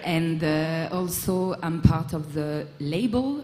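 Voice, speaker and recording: Over noticeable background noise and audible room echo, a woman with a French accent speaks in a very deep, low voice. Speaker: music production manager and event organizer. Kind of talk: panel discussion. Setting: stage with audience at festival.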